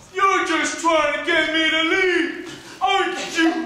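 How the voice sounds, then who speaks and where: Using a put-on character voice, the speaker talks fairly slowly at an extremely high pitch with monotone, flat intonation and a clear echo. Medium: stage play. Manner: slow, simple.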